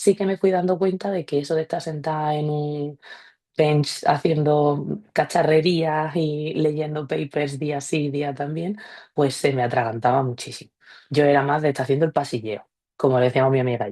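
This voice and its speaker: A woman's very deep, low voice, dark and mellow, at a moderate pace with ordinary pitch variation over a quiet background. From Seville, Andalusia, Spain. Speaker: former researcher, business development specialist. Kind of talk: career testimony in online meetup. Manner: casual, with fillers.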